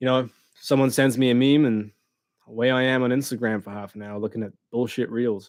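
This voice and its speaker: The delivery moves at a fairly quick pace with fairly even intonation and big swings in loudness. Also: man, medium pitch for a man. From England and New Zealand. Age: 20s. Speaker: motorcycle vlogger. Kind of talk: live stream chat. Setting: live stream from a dark room.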